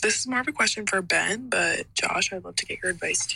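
A woman speaks over noticeable background noise. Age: 20s. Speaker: listener voicemail caller. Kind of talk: recorded voicemail question.

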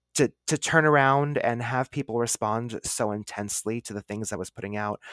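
On a very clean recording with a silent background, a man with a plain, everyday voice speaks at a fairly quick pace with ordinary pitch variation. The sound is dry and close with no echo. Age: 30s. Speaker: witchcraft author and podcaster. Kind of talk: casual interview chat.

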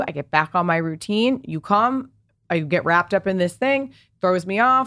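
A woman with an American accent and an ordinary speaking voice talks at medium pitch with lively intonation on a very clean recording with a silent background. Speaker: fashion entrepreneur and content creator. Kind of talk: casual interview chat. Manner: fast, filler-heavy.

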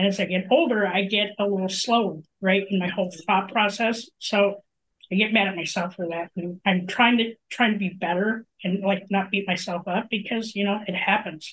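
A woman's plain, everyday voice at a medium pitch and moderate pace, with fairly even intonation and hardly any pauses. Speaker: podcast host. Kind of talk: casual chat.

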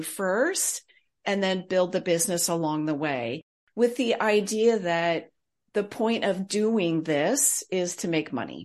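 An ordinary speaking voice, a woman with an American accent at a medium pitch, with ordinary pitch variation, a fairly slow pace and a quiet background. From US West Coast, Silicon Valley. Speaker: consultant and author. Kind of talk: interview.

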